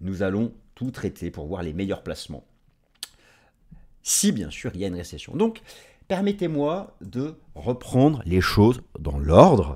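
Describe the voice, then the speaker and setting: A man with a fairly low pitch talks with very wide pitch swings, big swings in loudness, and long, frequent pauses. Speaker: market analyst. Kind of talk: video presentation on markets. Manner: fast; halting with fillers.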